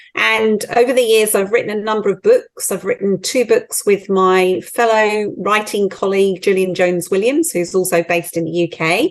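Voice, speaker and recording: A woman at a medium pitch, with ordinary pitch variation, a moderate pace and hardly any pauses, against a quiet background. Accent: British. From UK. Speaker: team coach and author. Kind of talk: interview conversation.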